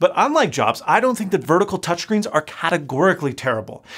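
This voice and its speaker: Against a quiet background, a man talks with very wide swings in pitch. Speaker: tech channel host. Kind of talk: commentary. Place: studio.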